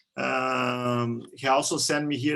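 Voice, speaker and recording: A man with a Portuguese accent speaks at a medium pitch with a bright, sharp tone and fairly even intonation. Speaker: interviewer, channel owner. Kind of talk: interview over video call.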